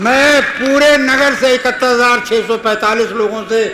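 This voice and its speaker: A man's raised, projected voice at an extremely high pitch, with fairly even intonation, audible room echo and noticeable background noise. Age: 70s. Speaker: local election candidate. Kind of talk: campaign speech. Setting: seated before local supporters. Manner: emphatic, repetitive appeals.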